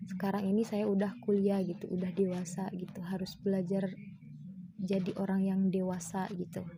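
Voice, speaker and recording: At a moderate pace, the voice comes across dark, mellow and somewhat breathy, with monotone, flat intonation and audible room echo. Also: woman, medium pitch for a woman. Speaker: university student. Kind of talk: personal testimony. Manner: casual, with fillers.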